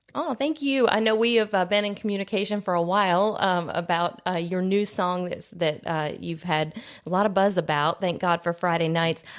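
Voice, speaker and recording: Delivered in an unremarkable speaking voice, the speech keeps a moderate speed, barely pauses, and shows ordinary pitch variation. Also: woman, medium pitch for a woman. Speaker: radio host. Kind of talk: radio interview host.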